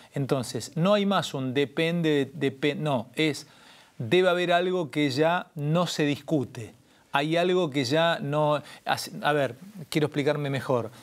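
Ordinary pitch variation marks a man's voice as he speaks at a very slow pace. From Argentina. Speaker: interview show host; interview host. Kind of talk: interview conversation. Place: studio. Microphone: lapel.

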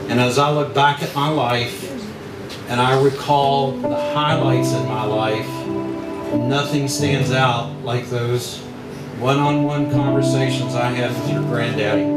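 Loud music plays behind a man who speaks at a fairly slow pace with long, frequent pauses and audible room echo. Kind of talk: wedding toast speech. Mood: emotional, tender remembrance. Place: hall.

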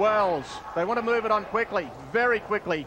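A man speaks at a moderate pace in a high voice. Noticeable background noise runs underneath. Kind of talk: live sports commentary. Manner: animated, with exclamations.

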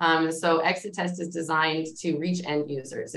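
Here a woman speaks with a fairly low pitch. The background is quiet. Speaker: engineer; panelist. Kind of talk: panel discussion. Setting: video call. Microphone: video call.

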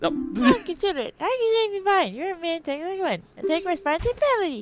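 A woman speaks in a put-on character voice at an extremely high pitch. She keeps a moderate pace. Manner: very fast, angry.

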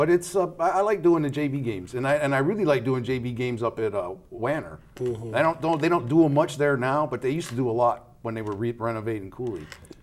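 At a very fast pace, a man with an American accent talks with lively intonation. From Colorado, Denver area; Colorado. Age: 60s. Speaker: football clock operator, Navy veteran; guest. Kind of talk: casual interview. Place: studio.

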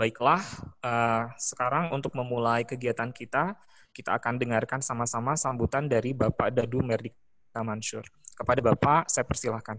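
Moderate pace and fairly even intonation from a man over light background noise. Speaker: teacher. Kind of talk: formal webinar moderation. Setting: video call. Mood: polite, welcoming. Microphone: video call.

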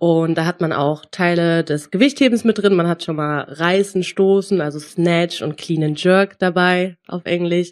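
With fairly even intonation, a woman speaks at a very slow pace and a fairly low pitch. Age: 20s. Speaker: powerlifter and sports student. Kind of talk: casual interview.

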